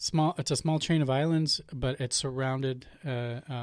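A man with an American accent speaks at a medium pitch and moderate pace with fairly even intonation, in a very clean recording with a silent background. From Portland, Oregon. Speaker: nonprofit director. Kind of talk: interview. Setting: studio. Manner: halting, many repetitions.

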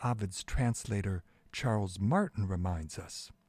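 A somewhat breathy man is heard in a very clean recording with a silent background and a dry, close sound with no echo. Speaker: radio host. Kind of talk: poem reading and commentary. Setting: radio broadcast. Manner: measured, formal, expressive reading.

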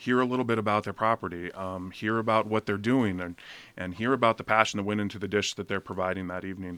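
Recorded with a dry, close sound and no echo, an ordinary speaking voice moves at a fairly quick pace with ordinary pitch variation. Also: man. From Oregon coast, Seaside. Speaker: chef. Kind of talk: radio interview. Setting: studio.

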